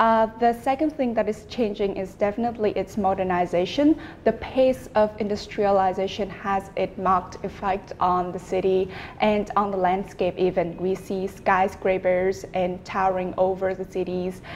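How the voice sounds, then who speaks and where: With a Vietnamese accent, a woman of medium pitch talks at a moderate pace with fairly even intonation and hardly any pauses over noticeable background noise. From Vietnam, Hanoi. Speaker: student, exam candidate. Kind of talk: speaking exam interview.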